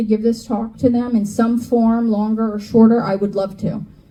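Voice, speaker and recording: At a moderate pace, a woman speaks in a somewhat breathy voice with a dark, mellow tone and a fairly high pitch. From New York / New Jersey area. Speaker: climate educator. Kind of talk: lecture. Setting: stage with audience. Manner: animated.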